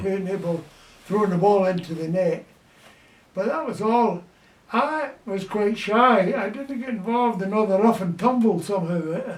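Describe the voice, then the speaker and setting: A man's high-pitched voice with a Scottish accent, ordinary pitch variation, a moderate pace and noticeable background noise. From Glasgow, Scotland. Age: 80s+. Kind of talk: interview answer.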